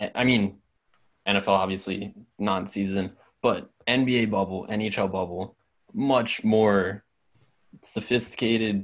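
In an American accent, a man speaks at a fairly low pitch with fairly even intonation. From Pennsylvania, Philadelphia area. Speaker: sports podcast co-host. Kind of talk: casual chat.

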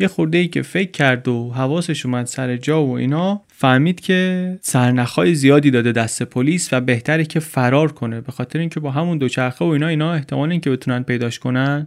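On a very clean recording with a silent background, a man with a fairly high pitch speaks at a very fast pace with ordinary pitch variation. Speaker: podcast host and narrator. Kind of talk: storytelling narration. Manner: casual, conversational.

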